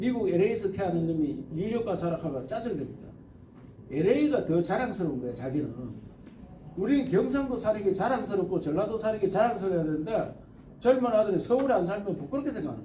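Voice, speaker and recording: Speaking at a very fast pace with a Gyeongsang accent, this voice swings very widely in pitch and loudness varies greatly, with noticeable background noise and audible room echo. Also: man. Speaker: presidential candidate. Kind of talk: interview answer. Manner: animated.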